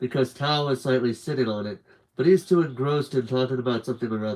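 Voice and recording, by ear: Pitch moves up and down in an ordinary way. The clip is reading aloud in a natural voice.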